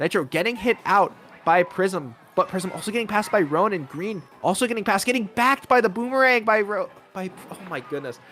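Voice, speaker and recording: Noticeable background noise surrounds this high-pitched man. He talks at a fairly quick pace with lively intonation. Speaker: esports caster. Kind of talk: live commentary. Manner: fast, stumbling over words.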